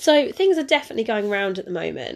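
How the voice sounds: A woman speaks in a slightly mellow tone with ordinary pitch variation.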